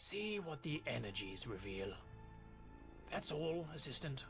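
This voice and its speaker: Over clear background music, a man does a put-on character voice at a fairly high pitch and a fairly slow pace. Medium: video game. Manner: brisk, confident.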